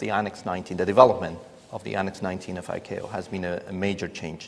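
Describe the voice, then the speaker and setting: This is a man speaking. He has a Spanish accent. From Spain. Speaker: airline pilot. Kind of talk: panel discussion.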